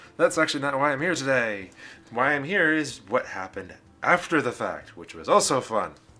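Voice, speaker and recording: A man speaks at a fairly high pitch in a bright, sharp tone with vocal fry. His loudness swings widely. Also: lively intonation, fairly quick pace. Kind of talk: casual talk to camera. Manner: rambling.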